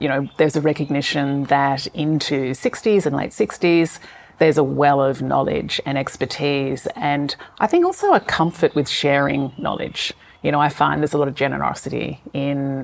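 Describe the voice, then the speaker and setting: A woman's very deep, low voice with an Australian accent and fairly even intonation, over noticeable background noise. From Tasmania, Australia. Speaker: business owner and author. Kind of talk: interview.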